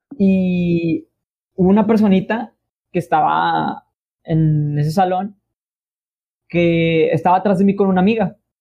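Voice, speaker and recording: A high-pitched man with a Mexican accent speaks at a very slow pace, with long, frequent pauses, fairly even intonation and very even loudness. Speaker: podcast host. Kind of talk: casual chat.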